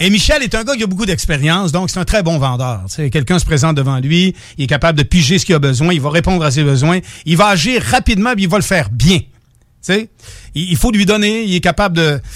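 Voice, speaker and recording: A man with a Quebec accent speaks fairly quickly in a high pitch, his intonation lively. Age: 50s. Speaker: radio co-host. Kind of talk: casual chat. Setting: radio studio.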